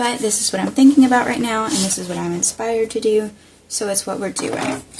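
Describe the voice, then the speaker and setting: With noticeable background noise, a woman with an American accent talks at a fairly quick pace in a fairly high pitch with ordinary pitch variation. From US South. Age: 20s. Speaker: crafter. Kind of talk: crafting tutorial. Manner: casual thinking aloud.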